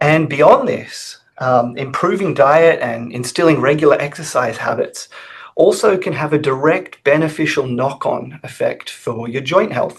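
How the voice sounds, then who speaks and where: Somewhat breathy, a man with an Australian accent talks at a fairly slow pace in a fairly high voice with ordinary pitch variation. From Australia, Sydney. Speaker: research scientist. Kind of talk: webinar presentation.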